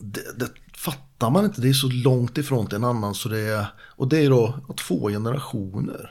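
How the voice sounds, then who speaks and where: A man with an unremarkable speaking voice talks at a moderate pace in a medium pitch with ordinary pitch variation, on a very clean recording with a silent background. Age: 50s. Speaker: martial artist and fishing guide. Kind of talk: casual chat.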